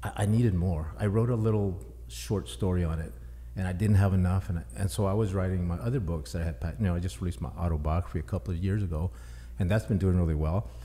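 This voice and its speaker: Very fast and very deep, a man's voice carries a dark, mellow tone, vocal fry and very wide pitch swings. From Texas. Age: 60s. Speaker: author. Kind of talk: podcast interview.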